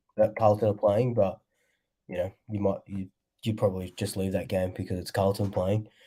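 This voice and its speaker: On a very clean recording with a silent background, a man with an Australian accent and a fairly low pitch speaks at a moderate pace in a dark, mellow tone with monotone, flat intonation. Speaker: sports fan vlogger. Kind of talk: casual livestream chat. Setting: livestream. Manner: casual, filler-heavy.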